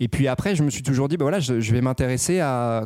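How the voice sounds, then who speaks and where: A man's dark, mellow voice on a very clean recording with a silent background. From provincial France, several small towns. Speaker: politician, government youth official. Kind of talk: casual interview chat. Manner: hesitant, repeats words.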